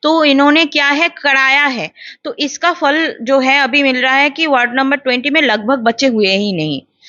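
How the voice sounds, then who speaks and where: Her pitch high, a woman speaks with hardly any pauses. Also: ordinary pitch variation. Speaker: animal welfare activist. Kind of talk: interview.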